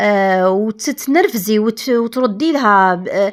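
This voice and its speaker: A woman speaks in an Algerian accent at a fairly high pitch. Her pace is fairly slow and her intonation lively. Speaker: home lifestyle vlogger. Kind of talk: casual advice talk to camera.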